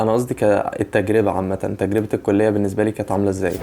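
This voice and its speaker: Against noticeable background noise, a man with an Egyptian accent talks at a fairly quick pace. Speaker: YouTuber. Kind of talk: vlog monologue. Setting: outdoors early morning. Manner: quiet, lowered voice; halting, many restarts.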